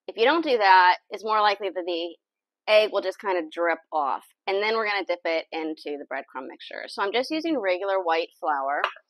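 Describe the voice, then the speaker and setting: A woman at a fairly quick pace, dry sound with no echo, quiet background. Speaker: home cook host. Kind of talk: tutorial. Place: kitchen.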